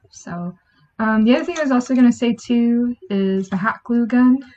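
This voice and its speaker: Soft-spoken and somewhat breathy, a woman talks at a moderate pace with a fairly high pitch and fairly even intonation. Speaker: podcast host. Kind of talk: casual chat.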